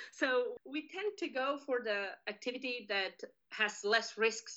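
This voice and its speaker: Ordinary pitch variation comes through as the speaker talks in a Spanish accent. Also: woman. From Spain. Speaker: criminal justice professor. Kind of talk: interview.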